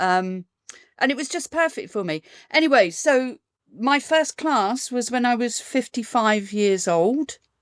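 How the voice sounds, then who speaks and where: In a southern English accent, a woman speaks at a fairly slow pace with a high pitch and lively intonation. The sound is dry and close with no echo, on a very clean recording with a silent background. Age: 60s. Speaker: burlesque performer. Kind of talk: interview.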